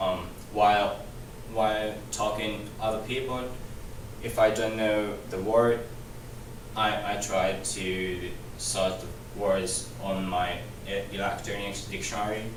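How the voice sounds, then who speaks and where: A man with a non-native accent speaks very slowly in a monotone, flat way, with long, frequent pauses, amid noticeable background noise and audible room echo. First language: not English. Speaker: student. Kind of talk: class presentation. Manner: halting, many repetitions.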